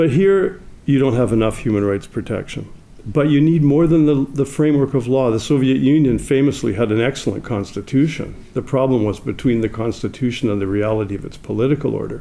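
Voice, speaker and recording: This man speaks with a Canadian accent at a fairly quick pace and medium pitch. His is a normal speaking voice with ordinary pitch variation. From Canada. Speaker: legal scholar. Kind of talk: conference talk. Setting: stage with audience.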